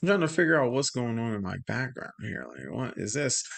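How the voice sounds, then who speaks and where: Over a quiet background, a man talks with a bright, sharp tone. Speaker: YouTube live streamer, hip hop commentator. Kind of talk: live stream commentary. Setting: live stream. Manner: loud; casual, halting.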